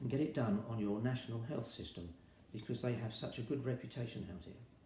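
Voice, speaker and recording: A man speaks in a dark, mellow tone that is somewhat breathy, with audible room echo. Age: 70s. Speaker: retired army veteran, patient. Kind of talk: interview testimony.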